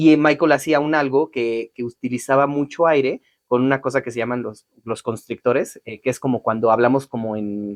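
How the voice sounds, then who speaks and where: A moderate pace with hardly any pauses, fairly even intonation and a dry, close sound with no echo. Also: man. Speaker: voice actor. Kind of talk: interview.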